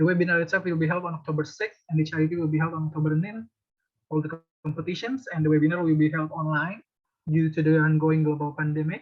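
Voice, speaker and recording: Fairly even intonation comes with an Indonesian accent. The pace is very fast. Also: man, fairly high pitch for a man. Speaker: university student presenter. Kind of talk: presentation.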